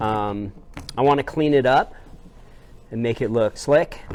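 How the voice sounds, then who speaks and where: A man's fairly slow delivery is accompanied by noticeable noise in the background. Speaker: metal shop teacher. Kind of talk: tutorial. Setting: outdoors. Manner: loud.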